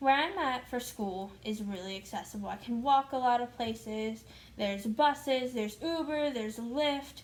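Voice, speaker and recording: A woman with a high pitch, ordinary pitch variation, and a moderate pace. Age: 20s. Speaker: vlogger. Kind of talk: casual vlog chat. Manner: filler-heavy casual speech.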